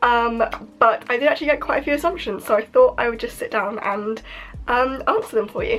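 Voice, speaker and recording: A woman speaks fairly quickly, with noticeable background noise behind her. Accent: British. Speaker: YouTuber. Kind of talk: casual vlog chat.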